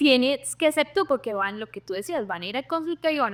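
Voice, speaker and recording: A woman's lively, bouncing intonation in a very clean recording with a silent background and a dry, close sound free of echo. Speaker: dermatologist. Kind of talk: interview. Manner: slow.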